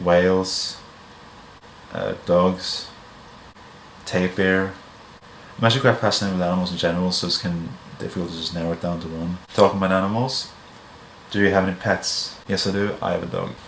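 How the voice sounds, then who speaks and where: Over noticeable background noise and audible room echo, the speaker talks at a fairly quick pace with fairly even intonation and long, frequent pauses. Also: man, very deep, low pitch for a man. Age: 20s. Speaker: YouTuber. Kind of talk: casual Q&A monologue. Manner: casual, rambling filler words.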